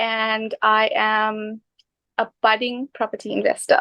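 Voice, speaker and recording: The pace is very slow. This woman's voice sits fairly high. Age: 20s. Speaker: microbiologist and new property investor. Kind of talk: interview.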